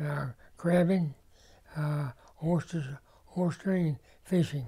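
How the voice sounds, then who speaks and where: A man with a dark, mellow tone and a fairly high pitch, in an Eastern Shore Maryland accent, at a fairly slow pace with fairly even intonation. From Maryland Eastern Shore, Rock Hall. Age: 90s. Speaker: local resident. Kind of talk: interview testimony. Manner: halting, many fillers.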